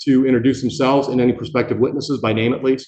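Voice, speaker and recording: A man's voice at medium pitch. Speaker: judge. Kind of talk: jury instructions in court. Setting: courtroom. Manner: loud.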